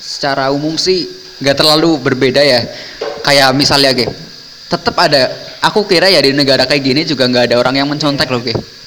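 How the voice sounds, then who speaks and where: A man talks at a fairly quick pace in a fairly high voice with ordinary pitch variation. Noticeable background noise is present. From Indonesia. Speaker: university student abroad. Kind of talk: casual chat.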